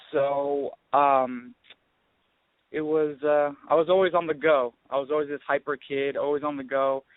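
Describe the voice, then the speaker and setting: The speaker has an American accent. Their intonation is monotone and flat. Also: man, fairly high pitch for a man, moderate pace. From northern California. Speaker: actor. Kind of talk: interview. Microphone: echo, delay on the line.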